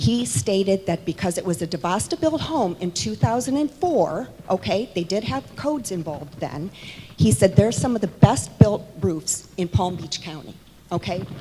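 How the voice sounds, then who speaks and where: A woman at a medium pitch speaks at a moderate pace, her pitch swinging very widely and her loudness rising and falling sharply, with noticeable background noise. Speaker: homeowner speaking at meeting. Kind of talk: public comment at town hall meeting. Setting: town hall meeting in church hall.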